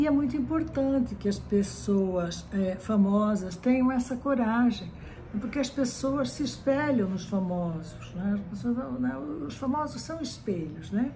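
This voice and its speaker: Delivered at a fairly slow pace, the voice swings very widely in pitch, with audible room echo and noticeable background noise. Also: woman, medium pitch for a woman. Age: 60s. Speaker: psychology professor. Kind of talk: lecture. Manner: frequent fillers and repetitions.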